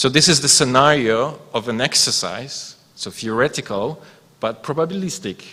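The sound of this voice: A man talks with a bright, sharp tone and lively intonation. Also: medium pitch for a man, moderate pace.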